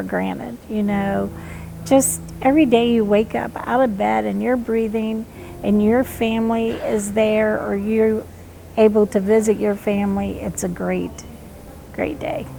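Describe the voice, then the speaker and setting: Amid clearly audible background noise, a woman talks rather slowly. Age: 60s. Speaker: cancer patient. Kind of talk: interview testimony.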